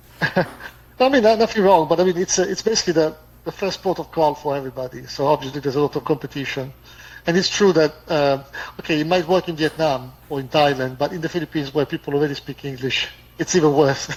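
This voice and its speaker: A man's fairly high, somewhat breathy voice with an Italian accent, ordinary pitch variation and a very fast pace. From Italy. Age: 50s. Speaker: expat. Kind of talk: casual chat. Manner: fluent.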